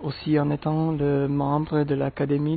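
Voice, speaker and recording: A man with a non-native accent, fairly high pitch, ordinary pitch variation and a very slow pace. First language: not French (speaking French). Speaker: language learner. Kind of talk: testimony.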